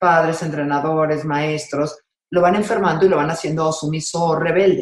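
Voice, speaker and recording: A woman with a Mexican accent talks at a fairly low pitch. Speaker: sports psychologist. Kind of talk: interview conversation.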